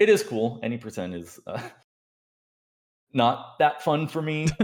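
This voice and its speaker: A man with an American accent, fairly high pitch and fairly slow pace, with very wide pitch swings and big swings in loudness. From Southern California. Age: 20s. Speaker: speedrunner and doctoral student. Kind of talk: casual chat.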